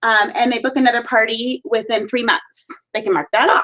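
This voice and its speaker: A woman speaks at a fairly high pitch. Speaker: direct sales consultant and team leader. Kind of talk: team training talk via live video. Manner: fast.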